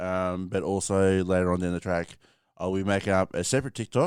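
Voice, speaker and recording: In a very clean recording with a silent background, a man with an Australian accent speaks at a moderate pace in a fairly low pitch. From Australia (Victoria). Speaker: podcast co-host. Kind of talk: casual chat.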